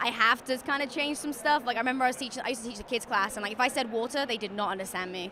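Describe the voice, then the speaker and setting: A woman's high voice at a very fast pace with hardly any pauses, ordinary pitch variation, and noticeable background noise. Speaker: professional MMA fighter. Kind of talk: interview. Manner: halting, filler-heavy.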